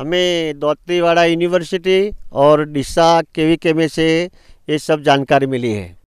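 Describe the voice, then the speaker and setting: A man's fairly high, fairly even voice in a dry, close sound with no echo. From India, Gujarat, Banaskantha. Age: 60s. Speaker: farmer. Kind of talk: farm tour explanation. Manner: halting.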